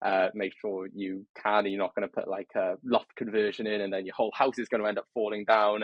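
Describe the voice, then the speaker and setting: Here a man talks with a British accent at a fairly quick pace. His fairly low pitch stays monotone, with flat intonation. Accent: regional British accent, noticeable. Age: 20s. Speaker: trainee property surveyor, podcast guest. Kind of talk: casual interview chat.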